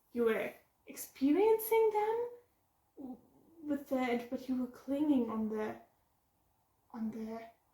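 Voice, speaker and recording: With a German accent, a woman speaks fairly slowly in a high-pitched voice that has a dark, mellow tone. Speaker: book vlogger. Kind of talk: casual vlog review. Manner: halting.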